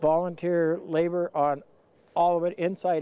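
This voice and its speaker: A man speaks with a Canadian prairie accent. His tone is dark and mellow. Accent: rural Canadian prairie English. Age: 60s. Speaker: local community member. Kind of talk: interview.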